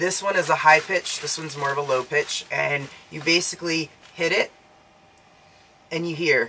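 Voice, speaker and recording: At a moderate pace and in an American accent, the speaker talks while noticeable background noise sounds behind. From Florida. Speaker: astronaut trainee in Mars analog mission. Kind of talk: casual demonstration on video. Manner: halting, many fillers.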